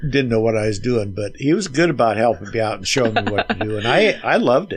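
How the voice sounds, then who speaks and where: A man's medium-pitched voice shows ordinary pitch variation. He talks at a very fast pace. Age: 70s. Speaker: retired carpenter and mandolin player. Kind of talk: casual interview chat. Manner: halting, many fillers.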